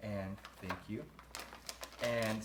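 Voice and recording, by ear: Against faint background noise, a man talks in a fairly low, fairly bright voice with fairly even intonation.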